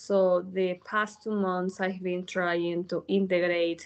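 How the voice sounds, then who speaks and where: A woman with a Peruvian accent at a very slow pace. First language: Spanish. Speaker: newly certified yoga teacher. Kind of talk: interview. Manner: halting, many fillers.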